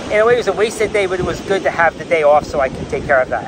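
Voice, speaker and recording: Against loud background noise, a man talks at a very fast pace in a dry sound with no echo. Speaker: vlogger. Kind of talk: casual vlog chat. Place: beach. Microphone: lapel.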